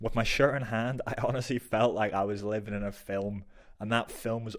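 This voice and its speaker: In a very clean recording with a silent background, a man with a Northern Irish accent talks at a fairly quick pace, his medium-pitched voice keeping fairly even intonation. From Northern Ireland, Belfast. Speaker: football vlogger. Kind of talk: travel vlog narration.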